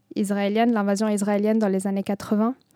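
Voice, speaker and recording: A woman at medium pitch speaks with an Arabic accent in a dark, mellow tone. The recording is very clean with a silent background, and the sound is dry and close with no echo. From southern Lebanon. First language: Arabic (speaking French). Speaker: poet. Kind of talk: interview. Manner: halting.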